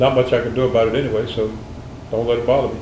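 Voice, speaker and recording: Speaking at a very fast pace in a monotone, flat intonation, a man is heard with noticeable background noise and audible room echo. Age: 80s+. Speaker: interviewee, retired military veteran and husband. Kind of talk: interview. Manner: halting, many fillers.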